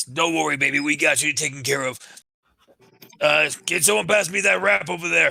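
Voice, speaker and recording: Using a put-on character voice at a fairly high pitch, a man speaks at a moderate pace with long, frequent pauses. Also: lively intonation. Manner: giddy, cheerful, reassuring.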